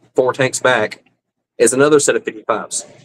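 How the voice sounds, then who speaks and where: A man with a Southern US accent speaks at a moderate pace, his pitch fairly high. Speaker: fish-keeping livestreamer. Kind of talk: casual livestream chat. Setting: live stream at home.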